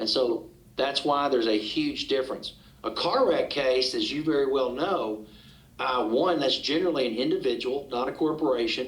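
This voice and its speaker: Using a Southern US accent, a man speaks at a moderate pace with a fairly high pitch and ordinary pitch variation. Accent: Southern American. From Arkansas, USA. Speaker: trial attorney, auctioneer. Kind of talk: podcast interview answer.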